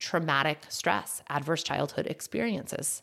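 A woman speaks at a fairly slow pace in an animated, passionate tone. The recording is very clean, with a silent background. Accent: American. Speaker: functional medicine nutritionist and podcast host. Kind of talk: solo educational monologue.

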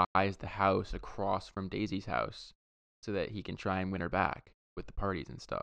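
A man's fairly low-pitched voice, bright and sharp in tone, with fairly even intonation over a quiet background. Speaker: podcast host. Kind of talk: casual banter podcast chat. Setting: remote recording.

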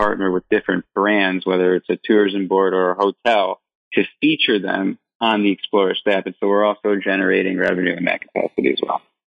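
With an American accent, a man talks very fast in a fairly low, monotone, flat voice. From Michigan, US. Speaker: startup founder and CEO. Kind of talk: interview.

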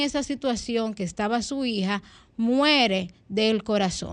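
A woman speaks in a normal speaking voice at a fairly high pitch with ordinary pitch variation. Her pace is fairly slow, and the background is quiet. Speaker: radio host. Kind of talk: news reading. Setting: studio.

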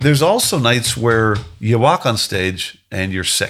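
With a Canadian accent, this is an unremarkable speaking voice, moving at a fairly slow pace with ordinary pitch variation. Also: man, very clean recording, silent background. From Canada. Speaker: singer-songwriter. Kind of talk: interview.

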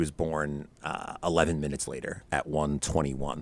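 A man speaks at a fairly slow pace with vocal fry. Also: very clean recording, silent background. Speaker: podcaster and tutoring company founder. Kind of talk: casual interview chat.

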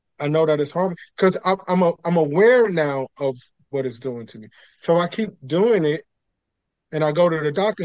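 A man talks with a New York accent. His pitch is fairly high. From New York City (Queens). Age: 40s. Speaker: pastor and mindfulness teacher. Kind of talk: interview conversation.

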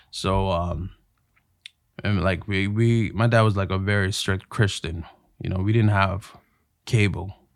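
A man with a Toronto accent speaks in a fairly low, flat monotone at a fairly slow pace, with long, frequent pauses. The recording is very clean and the background silent. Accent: Toronto Canadian English. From Canada, Toronto (North York). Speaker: actor and voiceover artist. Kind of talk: casual chat.

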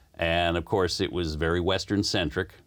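On a very clean recording with a silent background, a man speaks in a very deep, low voice with vocal fry. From US, moved around the South (Maryland, Florida). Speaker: community radio co-host. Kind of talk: casual interview.

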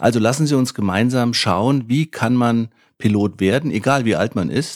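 A man speaks in a normal speaking voice at a medium pitch, fairly slowly and with lively intonation. The sound is dry and close with no echo, on a very clean recording with a silent background. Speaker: pilot and flight school founder. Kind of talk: scripted podcast trailer. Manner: formal.

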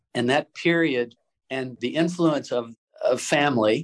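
An unremarkable speaking voice from a man with an American accent, at a fairly slow pace with fairly even intonation, in a dry, close sound with no echo. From US South, Chattanooga, Tennessee. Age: 60s. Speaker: impact investor. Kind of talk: interview.

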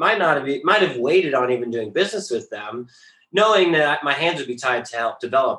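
A man's fairly high-pitched, bright, sharp voice with an American accent, lively intonation, big swings in loudness and a fairly quick pace. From rural Colorado, then Bellingham, Washington. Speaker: company founder. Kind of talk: interview.

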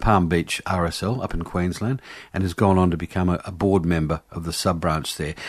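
A man talks at a moderate speed in an Australian accent. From Australia, Adelaide. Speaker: radio host. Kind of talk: radio interview and casual chat.

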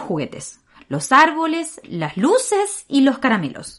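A woman with a slight Argentine accent speaks at a high pitch and a fairly slow pace. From Argentina. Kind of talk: devotional meditation. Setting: home recording room.

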